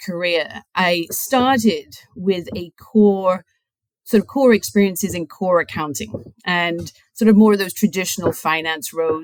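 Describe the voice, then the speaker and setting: A woman speaks at a fairly slow pace, with a British accent and a medium pitch. The sound is dry and close, with no echo. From UK. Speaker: chief financial officer. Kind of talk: podcast interview.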